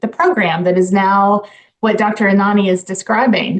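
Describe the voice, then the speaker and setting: Her voice is a plain, everyday voice, as the woman speaks at a medium pitch with fairly even intonation. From US South, Dalton, Georgia. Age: 50s. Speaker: nonprofit CEO. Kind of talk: radio interview.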